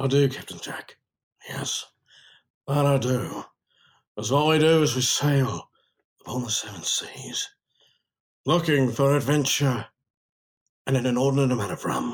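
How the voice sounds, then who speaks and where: In a put-on character voice, the speaker goes at a moderate pace with long, frequent pauses. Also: man, medium pitch for a man. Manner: swaggering, comedic.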